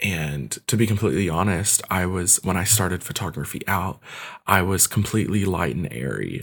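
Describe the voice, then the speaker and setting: On a very clean recording with a silent background, a man with an American accent speaks with vocal fry at a very deep, low pitch. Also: ordinary pitch variation, moderate pace. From Kentucky, US. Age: 20s. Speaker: photographer. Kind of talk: casual interview.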